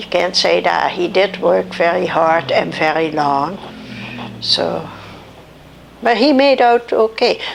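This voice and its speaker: Very slow speech with long, frequent pauses over noticeable background noise. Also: woman. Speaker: grandmother telling life stories. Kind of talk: interview. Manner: halting.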